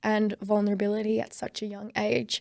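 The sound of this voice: A woman's medium-pitched voice in a very clean recording with a silent background.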